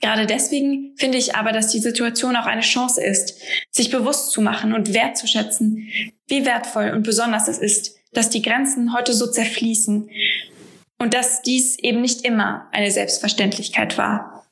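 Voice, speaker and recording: A woman with a fairly high pitch talks at a moderate pace with very even loudness. Her intonation is monotone and flat. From Paris and Freiburg, bilingual French-German. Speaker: member of a Franco-German youth association. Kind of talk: scripted personal narration. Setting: home office.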